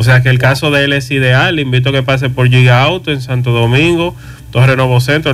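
Amid noticeable background noise, a man talks at a fairly quick pace with medium pitch and monotone, flat intonation. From Dominican Republic, Moca family roots. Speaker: electric car dealer. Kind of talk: radio interview.

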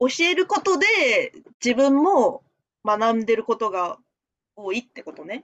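Speaking at a moderate pace, a woman uses a high pitch with very wide pitch swings and big swings in loudness. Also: dry, close sound with no echo. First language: Japanese (speaking Chinese). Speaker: language teacher. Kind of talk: casual chat.

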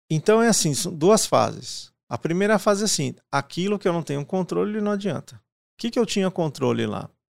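A man speaks at a fairly quick pace with lively intonation. The sound is dry and close with no echo, and the recording is very clean over a silent background. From Paraná, Brazil. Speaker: IT director and podcaster. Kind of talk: casual interview.

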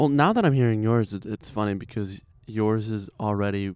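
In a very clean recording with a silent background, a man with an American accent and a plain, everyday voice speaks at a moderate pace and fairly low pitch. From Chicago. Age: 20s. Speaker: podcast guest. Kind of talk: casual chat. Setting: at his home.

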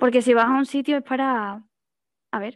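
A woman with a Spanish accent speaks at a moderate pace with monotone, flat intonation, in a dry, close sound with no echo against a quiet background. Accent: Peninsular Spanish. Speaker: blind panelist. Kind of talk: online panel discussion.

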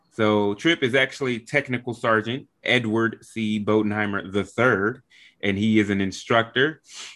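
A man with a normal speaking voice talks fairly slowly at a fairly low pitch, his intonation fairly even, on a very clean recording with a silent background. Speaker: podcast host; military member. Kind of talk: casual interview chat.

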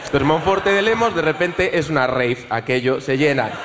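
A man's fairly high, animated and theatrical voice with lively intonation at a fairly quick pace, with audible room echo and noticeable background noise. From Galicia (Ourense, Vigo). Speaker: audience member telling a story. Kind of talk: comedic storytelling on stage. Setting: stage with live audience. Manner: animated, theatrical.

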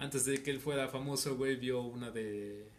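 Monotone, flat delivery from a man at medium pitch, with a Mexican accent and audible room echo. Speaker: audio engineering student and musician. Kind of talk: casual chat.

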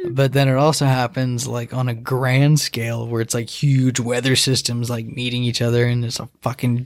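A man with an American accent speaks at a moderate pace in a monotone, flat intonation with hardly any pauses, over noticeable background noise. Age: 20s. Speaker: podcast guest. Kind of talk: casual chat.

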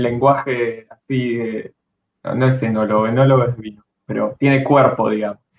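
Monotone, flat intonation at a moderate pace. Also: man. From Argentina, Bariloche (Patagonia). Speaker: car YouTuber. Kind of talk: casual live-stream chat. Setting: home, live stream.

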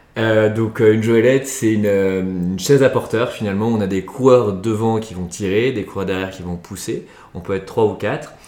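Fairly low in pitch with a dark, mellow tone, a man speaks at a fairly quick pace with fairly even intonation. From France, Chambéry (Savoie). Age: 20s. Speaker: sports adventure agency founder. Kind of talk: interview. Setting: recorded at a guest's home. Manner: halting, many repetitions and fillers.

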